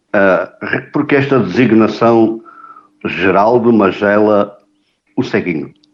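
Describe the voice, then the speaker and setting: A man talks very slowly, with long, frequent pauses. His pitch is fairly low with ordinary variation, and his loudness stays very even. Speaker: podcast host. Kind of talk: interview.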